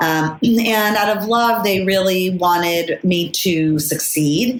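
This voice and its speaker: A woman with a Californian accent speaks at a medium pitch and a very slow pace. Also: ordinary pitch variation, very even loudness. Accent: General American, California. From US, Los Angeles suburbs. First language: Spanish. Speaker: lawyer, board director and author. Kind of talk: podcast interview. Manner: many fillers (um, uh).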